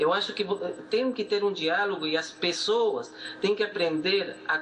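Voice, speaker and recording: Over noticeable background noise, a man with a Peruvian accent and a high pitch talks at a fairly slow pace, with ordinary pitch variation. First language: Spanish (speaking Portuguese). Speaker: economist. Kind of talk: TV interview. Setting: video call. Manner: halting.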